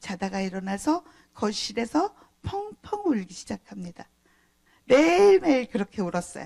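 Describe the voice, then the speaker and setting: A woman speaks very slowly at a fairly high pitch, her dark, mellow tone ranging through very wide pitch swings in a dry, close sound with no echo. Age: 60s. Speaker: pastor. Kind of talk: sermon. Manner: conversational.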